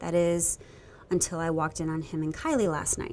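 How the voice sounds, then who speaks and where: A woman talks at a fairly quick pace. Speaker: actress in a holiday film. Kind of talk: scripted drama dialogue. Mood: wistful, hurt, pleading. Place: street.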